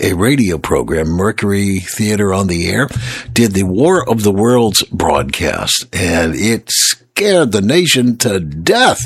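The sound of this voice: A man speaks slowly in a gravelly, fairly low voice with a slightly husky edge. His pitch makes big swings.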